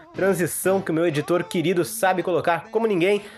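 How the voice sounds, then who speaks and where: Over noticeable background noise, a man speaks at a fairly quick pace in a high voice. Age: 20s. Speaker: film podcast host. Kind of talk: casual chat.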